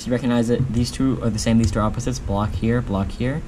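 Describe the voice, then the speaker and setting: Noticeable background noise sits behind a man's voice. His pitch is fairly low, and he talks at a fairly quick pace. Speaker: speedcubing youtuber. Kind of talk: tutorial. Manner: fast; halting. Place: home room.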